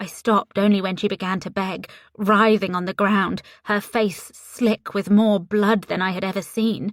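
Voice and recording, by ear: The voice reads aloud naturally. Its intonation holds fairly even.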